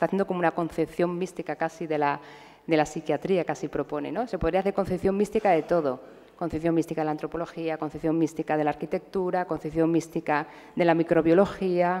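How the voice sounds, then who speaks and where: Talking at a very fast pace, the woman has a fairly low pitch, a dark, mellow tone and fairly even intonation. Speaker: psychiatrist lecturer. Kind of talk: lecture.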